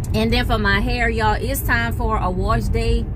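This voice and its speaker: Loud background noise sits under a woman speaking at a moderate pace. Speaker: vlogger. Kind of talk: casual vlog chat. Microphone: phone near.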